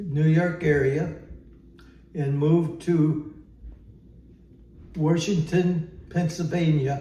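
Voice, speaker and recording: A man with an American accent, a fairly high pitch, a flat monotone delivery, a somewhat breathy voice and audible room echo. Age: 90s. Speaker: elderly man telling family history. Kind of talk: oral history interview. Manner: halting, many fillers.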